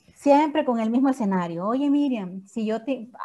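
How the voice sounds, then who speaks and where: The voice has a dark, mellow tone and ordinary pitch variation. The recording is very clean, with a silent background. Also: woman. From El Salvador, San Salvador. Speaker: network marketing leader and surgeon. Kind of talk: training talk.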